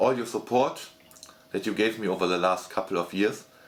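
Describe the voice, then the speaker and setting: A man with a German accent talks with ordinary pitch variation. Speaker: gaming YouTuber. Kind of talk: casual channel update monologue. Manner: halting, many fillers and repetitions.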